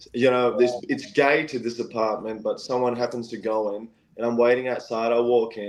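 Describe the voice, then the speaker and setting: A man of medium pitch with an Australian accent. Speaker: singer-songwriter. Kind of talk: casual storytelling interview. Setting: live-streamed podcast. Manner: animated.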